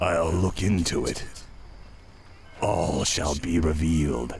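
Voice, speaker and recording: A man puts on a character voice, very deep and raspy, speaking at a fairly slow pace over clear background noise. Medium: video game. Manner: secretive.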